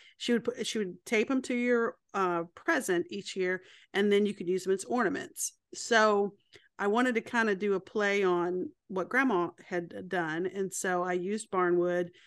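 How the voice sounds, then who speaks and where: Against a quiet background, a woman with a plain, everyday voice talks at a medium pitch and a moderate pace. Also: ordinary pitch variation. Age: 40s. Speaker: accountant and woodworker. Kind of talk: casual chat.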